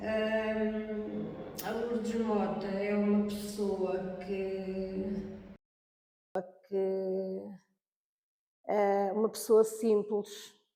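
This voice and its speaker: A woman's medium-pitched voice, very slow and monotone, broken by long, frequent pauses in a room with audible echo. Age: 60s. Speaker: senior university student. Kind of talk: interview. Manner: halting.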